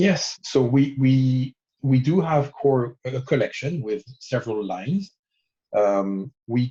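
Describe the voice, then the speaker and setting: Speaking very slowly with a French accent, a man has a dark, mellow, somewhat breathy voice at medium pitch with ordinary pitch variation, heard in a dry, close sound with no echo. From France. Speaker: watch brand founder and designer. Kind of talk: interview. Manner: hesitant, many fillers.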